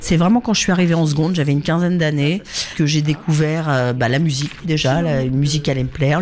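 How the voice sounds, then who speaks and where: Over noticeable background noise, a woman talks at a moderate pace with very even loudness. Her pitch is very deep and low. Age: 50s. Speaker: musician and communications manager. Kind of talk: interview.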